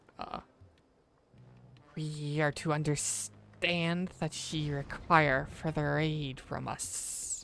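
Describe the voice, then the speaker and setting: Someone uses a put-on character voice at a middle pitch. The pace is very slow. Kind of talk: archaic, formal. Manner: sly, scheming.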